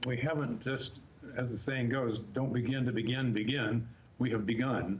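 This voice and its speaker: There is audible room echo around this man's voice, which sits at a medium pitch. His intonation is monotone and flat. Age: 70s. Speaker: special education professional. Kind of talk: interview.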